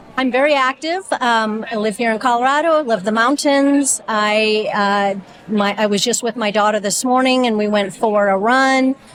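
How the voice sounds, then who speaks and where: With ordinary pitch variation and very even loudness, the speech runs at a moderate pace with hardly any pauses over noticeable background noise. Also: woman, fairly high pitch for a woman. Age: 60s. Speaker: physical therapist, volunteer reader. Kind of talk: interview.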